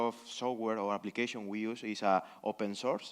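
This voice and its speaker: A man's flat, monotone delivery in a Spanish accent. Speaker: conference panelist, researcher. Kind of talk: panel discussion Q&A. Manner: halting, many fillers.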